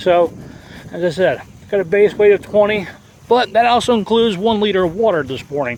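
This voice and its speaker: At a moderate pace, the talking goes on through noticeable background noise. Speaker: herbalist and hiker. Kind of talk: outdoor vlog tutorial. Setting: outdoors on a trail. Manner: casual, hesitant with fillers.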